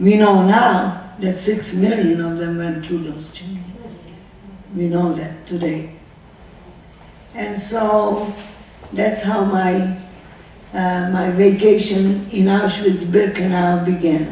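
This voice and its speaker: Noticeable background noise and audible room echo surround a woman with a medium pitch. She speaks very slowly in a monotone, flat way, with long, frequent pauses. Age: 90s. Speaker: Holocaust survivor. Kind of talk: testimony. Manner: emotional, repetitive questioning.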